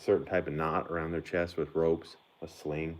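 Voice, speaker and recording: Delivered at a moderate pace in a Southern US accent, the speech stays monotone and flat. The recording is very clean, with a silent background. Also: man. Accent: Southern rural. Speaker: horseman. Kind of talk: casual live stream chat.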